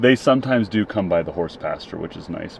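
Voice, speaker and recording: Someone with a Minnesotan accent speaks at a fairly quick pace with ordinary pitch variation over noticeable background noise. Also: man. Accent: Minnesota. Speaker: travel and camping vlogger. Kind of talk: casual vlog narration. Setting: outdoors at a campground.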